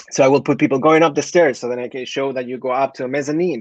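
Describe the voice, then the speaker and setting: Close and dry with no echo, a man's voice moves at a fairly quick pace with ordinary pitch variation. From Chile. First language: Spanish. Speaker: architect. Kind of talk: presentation. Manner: hesitant, with fillers.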